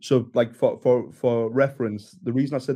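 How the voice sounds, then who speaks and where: A man with a Geordie accent speaks at medium pitch in a dark, mellow tone, at a moderate pace with fairly even intonation. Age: 20s. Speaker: instagram creator. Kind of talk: casual chat.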